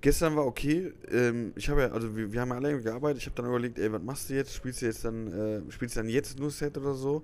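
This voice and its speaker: Delivered very fast, the speech shows ordinary pitch variation. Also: man, medium pitch for a man. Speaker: comedian. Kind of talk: casual chat. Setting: hotel lobby.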